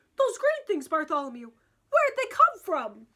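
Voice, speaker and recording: Using a put-on character voice, the speaker sounds squeaky at a moderate pace, with very wide pitch swings. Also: woman, extremely high pitch for a woman. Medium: read story.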